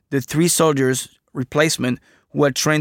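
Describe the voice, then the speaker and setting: A man's flat, monotone delivery with a French accent, dry and close with no echo. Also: very clean recording, silent background. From France. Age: 30s. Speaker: veteran oral historian. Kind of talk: casual interview.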